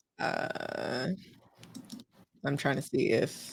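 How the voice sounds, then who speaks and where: A woman speaks with an American accent. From Texas, Houston. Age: 20s. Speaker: personal finance content creator. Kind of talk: livestream presentation. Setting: livestream on camera. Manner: casual, with frequent fillers.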